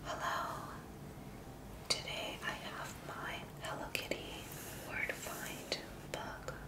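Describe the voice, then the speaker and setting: The speech goes at a very slow pace, broken by long, frequent pauses. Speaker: ASMR creator. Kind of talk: ASMR whisper video.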